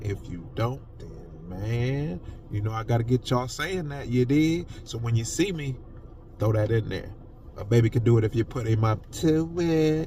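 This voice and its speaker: A man talks at a moderate pace with an animated tone. His medium-pitched voice carries lively intonation. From Ohio, US Midwest. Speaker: podcaster. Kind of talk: casual monologue.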